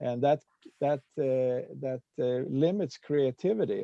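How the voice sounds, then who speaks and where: A man with a slight Swedish accent speaks at a very slow pace. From Sweden. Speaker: peace activist and Rotary speaker. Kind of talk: presentation with discussion. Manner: halting, many fillers.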